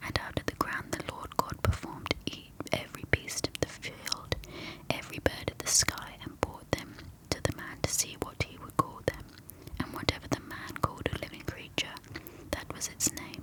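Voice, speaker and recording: Whispering at a moderate pace with big swings in loudness, a woman with a British accent is heard over noticeable background noise. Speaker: ASMR creator. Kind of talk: reading aloud.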